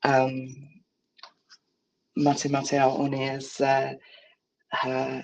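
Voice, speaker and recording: Someone with a New Zealand accent speaks at a very slow pace in a monotone, flat way. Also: woman. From New Zealand, Tūhoe region. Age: young. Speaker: Māori visual artist and researcher. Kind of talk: conference presentation. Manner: halting, many fillers.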